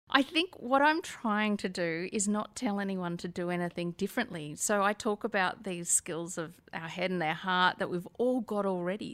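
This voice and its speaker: In an Australian accent, a woman speaks at medium pitch and a moderate pace with ordinary pitch variation, on a very clean recording with a silent background. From Australia (Sydney). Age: 50s. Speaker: author and company director. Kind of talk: interview.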